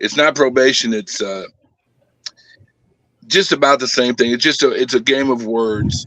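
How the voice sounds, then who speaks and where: A man with an American accent talks at a moderate pace in a medium pitch with ordinary pitch variation, leaving long, frequent pauses. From Southern California. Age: 60s. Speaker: former prisoner. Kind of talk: interview.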